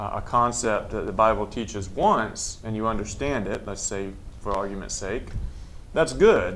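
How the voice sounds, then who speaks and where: A man keeps a moderate pace, his voice carrying audible room echo. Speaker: Bible study co-host. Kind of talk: live Bible study broadcast discussion.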